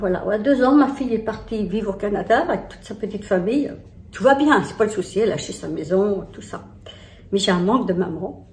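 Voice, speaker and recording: Amid noticeable background noise and audible room echo, a woman speaks at a fairly quick pace with a medium pitch and ordinary pitch variation. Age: 60s. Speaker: lifestyle vlogger. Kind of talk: personal vlog, confiding talk. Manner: halting, many hesitations.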